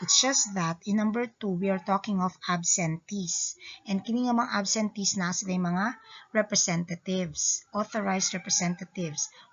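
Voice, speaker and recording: A woman talks at a moderate pace in a somewhat breathy, medium-pitched voice. Her intonation stays fairly even. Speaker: lawyer and accountancy lecturer. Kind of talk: informal law lecture.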